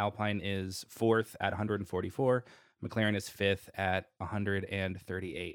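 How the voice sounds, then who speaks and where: This man has an unremarkable speaking voice with an American accent. His pitch is fairly low and his intonation fairly even. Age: 30s. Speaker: F1 podcast host. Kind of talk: casual chat.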